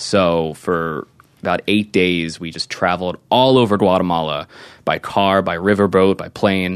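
With an American accent, a man speaks in a very deep, low voice. His pace is fairly slow and his intonation fairly even. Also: quiet background. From Delaware County, Pennsylvania. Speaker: adult film performer. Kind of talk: casual interview.

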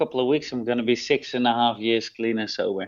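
A man's medium-pitched voice with a Dutch accent. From Netherlands. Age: 30s. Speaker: rehab program manager. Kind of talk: interview. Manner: halting.

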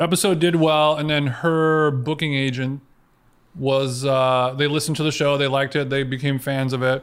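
On a very clean recording with a silent background, a man with an American accent speaks in a fairly high pitch at a moderate pace, his intonation monotone and flat. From Orange County, California. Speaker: podcaster. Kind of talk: casual chat.

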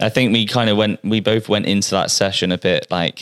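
With a West Country accent, a man talks at a fairly quick pace in a fairly low voice with fairly even intonation, recorded very cleanly against a silent background with a dry, close sound and no echo. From Bristol, England. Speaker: personal trainer. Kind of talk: casual chat.

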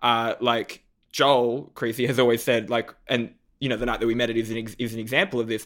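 At a fairly quick pace, a man with an Australian accent talks in an animated tone at a medium pitch. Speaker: comedian and TV judge. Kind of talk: casual interview chat. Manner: animated, joking.

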